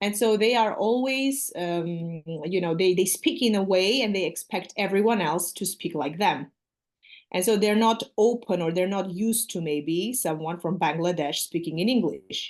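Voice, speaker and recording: A woman's voice at a medium pitch carries lively intonation over a quiet background. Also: moderate pace. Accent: Armenian. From Armenia. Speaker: English teacher. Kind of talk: casual chat.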